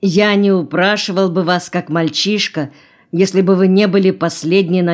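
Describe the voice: The plain reading aloud keeps a fairly even intonation.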